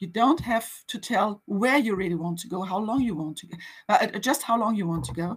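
A woman talks at a moderate pace and medium pitch, her voice somewhat breathy with lively intonation. Her loudness swings widely over a quiet background. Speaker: museum network officer, guest speaker; guest. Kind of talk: webinar presentation and conversation. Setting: online webinar.

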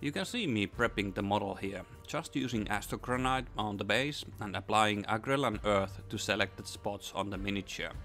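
The speech moves at a moderate pace with ordinary pitch variation while music plays in the background. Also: man, fairly low pitch for a man. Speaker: miniature painting tutor. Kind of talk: tutorial narration.

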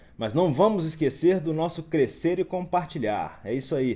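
The pace is fairly slow. The intonation is lively. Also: man. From Minas Gerais, Brazil. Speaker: investment educator. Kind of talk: live stream market commentary reading chat. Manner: casual, upbeat. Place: home room.

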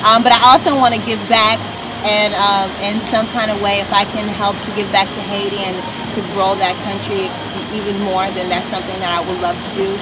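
Loud background noise sits under a woman talking at a fairly quick pace. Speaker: pageant winner and student. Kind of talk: casual interview. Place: garden. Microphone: camera far.

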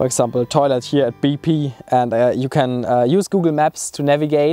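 A man with a German accent speaks at a moderate pace and in a fairly even intonation, with faint music in the background and a dry sound with no echo. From Germany. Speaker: travel vlogger. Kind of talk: casual tutorial talk. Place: open country.

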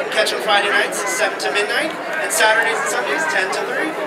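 Crowd noise fills the background as the speaker talks at a fairly quick pace. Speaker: parade announcer. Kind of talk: commentary. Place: street.

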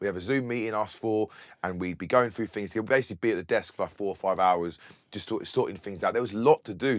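A man with a southern English accent, medium pitch, ordinary pitch variation and a very fast pace over a quiet background. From Bedford, England. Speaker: DJ and music producer. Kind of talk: casual interview. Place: studio.

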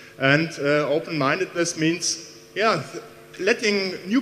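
A man speaks at a high pitch with ordinary pitch variation. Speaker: university professor giving welcome. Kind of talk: welcome speech. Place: hall. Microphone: handheld.

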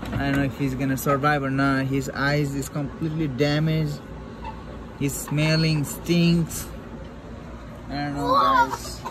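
Against loud background noise, a man speaks at a fairly slow pace, leaving long, frequent pauses. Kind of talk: casual vlog commentary. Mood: worried, concerned. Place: garden. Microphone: phone near.

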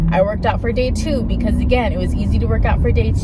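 A woman's voice in a dry sound with no echo, over loud background noise. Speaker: lifestyle vlogger. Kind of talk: casual vlog chat. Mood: candid, reflective, animated. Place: car. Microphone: phone near.

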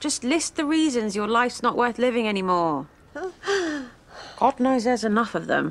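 This put-on character voice moves at a fairly slow pace. It shows big pitch swings. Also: woman, fairly high pitch for a woman.

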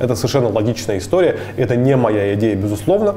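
A man talking at a fairly quick pace, with audible room echo and light background noise. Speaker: guest. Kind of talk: interview answer. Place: studio. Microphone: lapel.

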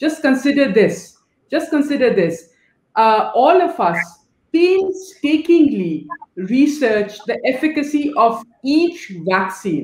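A woman talks very slowly in a high voice with very wide pitch swings. Room echo is audible around her. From Pakistan. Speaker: NGO director; panelist. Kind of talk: panel discussion. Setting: video call. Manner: animated. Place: home room. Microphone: video call.

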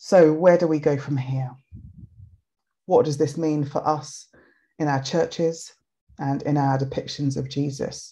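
Over a quiet background, a woman with a very deep, low voice and a dark, mellow tone speaks with fairly even intonation and long, frequent pauses. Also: fairly slow pace. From Nigeria. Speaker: writer and think tank director; webinar speaker. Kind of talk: presentation talk. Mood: warm, engaged. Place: home room. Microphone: webcam.

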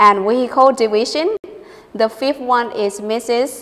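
Speaking in a Thai accent, a woman talks at a very slow pace in a fairly high pitch with fairly even intonation. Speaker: university lecturer co-hosting English radio show; news presenter. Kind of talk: news reading. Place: studio. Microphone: lapel.

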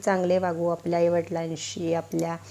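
A woman speaks at a fairly low pitch in a monotone, flat intonation. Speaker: astrology and home-remedy YouTuber. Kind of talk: tutorial.

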